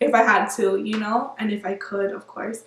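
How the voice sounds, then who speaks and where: The speaker is a woman with a Spanish accent. She talks at a moderate pace. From Miami, Florida. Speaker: beauty vlogger. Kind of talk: casual vlog monologue.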